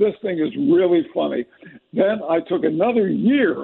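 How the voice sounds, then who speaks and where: A man speaks at a moderate pace with a high pitch. The background is quiet. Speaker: guest. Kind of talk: interview answer. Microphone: phone line.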